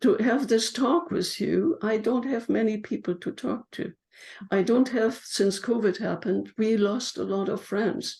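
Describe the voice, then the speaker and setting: A woman speaks in a German accent at a fairly high pitch, with ordinary pitch variation. Her tone is dark and mellow, with vocal fry. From Germany. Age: 80s+. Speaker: memoir author. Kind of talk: interview.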